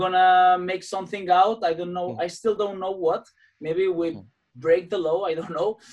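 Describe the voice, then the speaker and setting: Speaking at a moderate pace with a Spanish accent, a man uses a high pitch and fairly even intonation. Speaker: podcast host, gym owner, musician. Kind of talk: interview in second language. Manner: halting.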